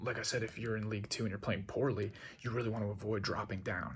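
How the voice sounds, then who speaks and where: This man talks at a very fast pace and quietly, with a fairly low pitch. His intonation stays fairly even. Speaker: video creator explaining football. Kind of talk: casual explainer. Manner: speaking quietly; casual, hesitant with fillers.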